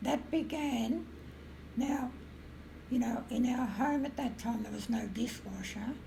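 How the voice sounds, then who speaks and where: Someone with an Australian accent speaks with fairly even intonation and long, frequent pauses amid audible room echo. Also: woman, high pitch for a woman. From rural Victoria, Australia. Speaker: retired music teacher. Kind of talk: interview storytelling. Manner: halting, filler-heavy.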